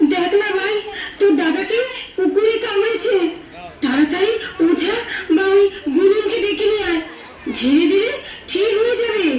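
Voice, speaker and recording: A woman performs a put-on character voice at an extremely high pitch and a moderate pace. Clear background noise and a slight echo surround her. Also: ordinary pitch variation. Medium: stage play. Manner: anxious.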